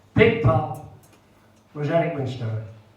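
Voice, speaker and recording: A man speaks with lively intonation. The room echo is audible, and there is noticeable background noise. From northeast England. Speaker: retired footballer. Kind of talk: memorial speech to audience.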